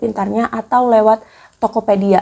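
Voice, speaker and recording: A woman talks at medium pitch in a monotone, flat intonation. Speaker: YouTuber, personal finance tips. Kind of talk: casual vlog talk. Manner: casual, with hesitations.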